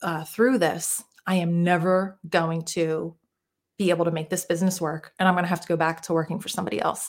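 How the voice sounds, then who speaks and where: A woman with an American accent speaks at a moderate pace in a fairly low pitch, her intonation flat and monotone, on a very clean recording with a silent background. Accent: Jersey-Philly. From New Jersey, US. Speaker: mindset coach. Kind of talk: casual interview chat.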